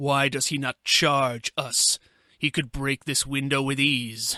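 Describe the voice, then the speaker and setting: In a put-on character voice, a man growls at medium pitch and a fairly slow pace with monotone, flat intonation, the sound dry and close with no echo. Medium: read story. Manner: blunt.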